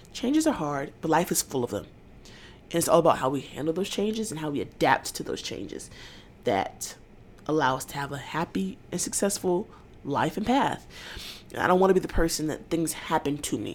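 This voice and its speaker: A woman with a very deep, low pitch and vocal fry talks at a fairly quick pace. Her animated tone carries very wide pitch swings. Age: young. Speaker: podcaster and college student. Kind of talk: casual solo podcast monologue.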